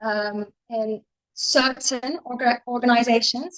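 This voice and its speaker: In a Turkish accent, a woman speaks at a very slow pace. Her pitch is high and her intonation fairly even. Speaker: postgraduate researcher. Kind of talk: academic conference presentation. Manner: halting, many filler ums; casual, chatty.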